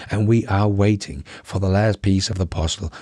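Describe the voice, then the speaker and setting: A man with a Danish accent and a very deep, low pitch speaks somewhat breathily at a moderate pace. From Denmark, Aarhus. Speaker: tech news YouTuber. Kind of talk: news commentary. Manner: enthusiastic.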